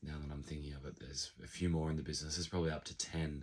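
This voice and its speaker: Very deep and low in pitch, a man's voice comes across as somewhat breathy. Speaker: business owner and vlogger. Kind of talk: casual vlog monologue.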